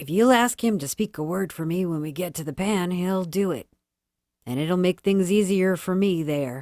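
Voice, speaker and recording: A put-on character voice, female-sounding and gruff, at middle pitch and moderate pace, on a very clean recording with a silent background. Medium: read story.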